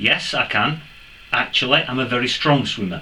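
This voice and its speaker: A man with an English accent talks at a moderate pace. Noticeable background noise can be heard. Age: 60s. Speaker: metal detecting youtuber. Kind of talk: casual vlog Q&A.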